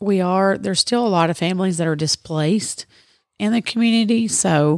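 In a Tennessee accent, a woman speaks at a moderate pace on a very clean recording with a silent background and a dry, close sound free of echo. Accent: Southern US (Tennessee). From Middle Tennessee. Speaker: charity organizer. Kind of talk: interview. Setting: studio in a store.

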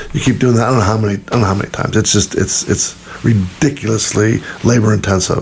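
Speaking at a very fast pace with fairly even intonation, a man with a fairly low pitch is heard over noticeable background noise. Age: 60s. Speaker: podcast host, missionary. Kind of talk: casual chat.

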